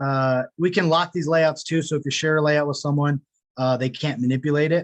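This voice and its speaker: A man speaks with a fairly high pitch and fairly even intonation. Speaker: product demo presenter. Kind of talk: webinar software demo. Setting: home office, webinar. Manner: fast.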